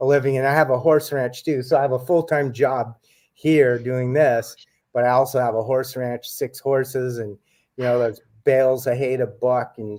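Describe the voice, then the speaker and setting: A man with an American accent, medium in pitch and moderate in pace, fairly even in intonation, a normal speaking voice. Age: 60s. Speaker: author and UFO researcher. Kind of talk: casual chat.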